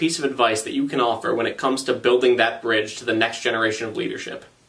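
A man talks at a very fast pace with lively intonation. Noticeable background noise sits behind him. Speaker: trade association video show host. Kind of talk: scripted news reading and interview.

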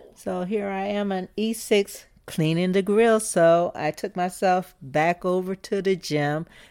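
A woman with an American accent speaks at a very slow pace with ordinary pitch variation, on a very clean recording with a silent background. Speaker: retired Coast Guard master chief. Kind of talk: casual interview, storytelling.

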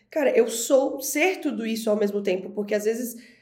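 Over noticeable background noise and audible room echo, a woman with a fairly high pitch speaks at a moderate pace with ordinary pitch variation. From Florianópolis, southern Brazil. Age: 30s. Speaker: brand strategist. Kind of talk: podcast interview.

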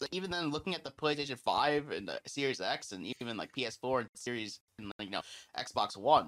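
A man with a fairly high pitch speaks at a fairly quick pace, his tone bright and sharp with some vocal fry. His intonation is lively, and the sound is dry and close with no echo. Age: 20s. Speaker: gaming podcast host. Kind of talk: casual chat.

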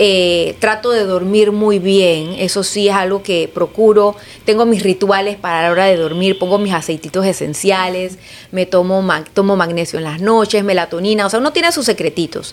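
A woman's ordinary speaking voice, pitched in the medium range, moderate in pace, with fairly even intonation. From Panama, Chiriquí province. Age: 40s. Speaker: politician. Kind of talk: interview.

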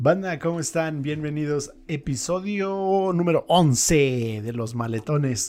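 A man's fairly high, lively voice at a very slow pace, with hardly any pauses. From California, US, Mexican-American family. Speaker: podcast host. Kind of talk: casual chat. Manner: animated.

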